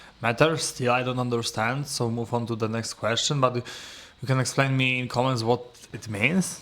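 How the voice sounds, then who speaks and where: Against noticeable background noise, a man of medium pitch talks with fairly even intonation. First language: not English. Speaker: English learner and video creator. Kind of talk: solo speaking practice, answering questions. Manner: halting, searching for words.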